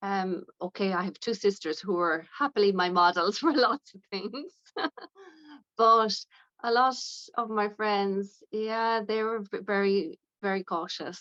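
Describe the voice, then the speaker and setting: With a western Irish accent, a woman with a bright, sharp tone speaks fairly slowly at a medium pitch, with ordinary pitch variation. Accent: Irish, west of Ireland. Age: 60s. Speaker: aesthetics nurse. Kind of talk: interview.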